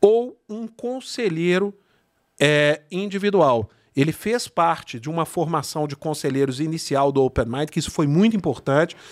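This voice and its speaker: In a very clean recording with a silent background, a man with a normal speaking voice speaks at a fairly high pitch and moderate pace with lively intonation. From Brazil, São Bernardo do Campo (São Paulo area). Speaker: networking entrepreneur. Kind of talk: casual interview over wine. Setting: studio.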